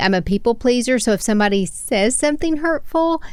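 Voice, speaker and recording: An animated, fairly high-pitched woman's voice with a strong Ozarks accent, lively intonation and a very fast pace. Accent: strong Ozarks Southern. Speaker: social media food creator. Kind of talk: casual interview chat. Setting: studio.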